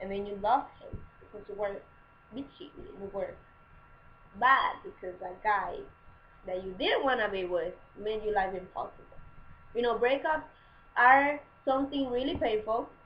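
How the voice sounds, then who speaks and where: A woman's fairly high voice with a non-native accent, lively intonation, big swings in loudness, a moderate pace, and long, frequent pauses. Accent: foreign. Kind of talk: casual advice talk to camera. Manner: chatty, informal.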